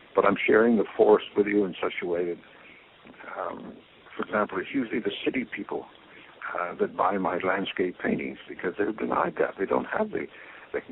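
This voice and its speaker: This man has a Canadian accent and speaks at a fairly quick pace. Noticeable background noise sits behind him. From Quebec, Montreal. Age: 80s+. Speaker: painter. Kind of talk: interview. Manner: halting.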